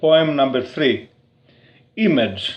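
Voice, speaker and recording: The speaker is a man with a Greek accent. His voice sits fairly high in pitch. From Crete, Greece. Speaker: poet. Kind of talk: poetry reading. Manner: slow.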